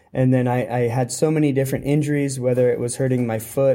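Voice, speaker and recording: Speaking with a Californian accent, a man holds a medium pitch in a dark, mellow tone with monotone, flat intonation. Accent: American (Californian). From California, US. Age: 30s. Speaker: professional track cyclist. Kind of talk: interview. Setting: at a cycling event. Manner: halting.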